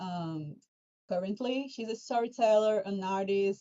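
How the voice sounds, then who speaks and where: A woman's medium-pitched voice with a Portuguese accent and ordinary pitch variation. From Brazil. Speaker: fan community moderator. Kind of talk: livestream Q&A hosting. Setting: livestream.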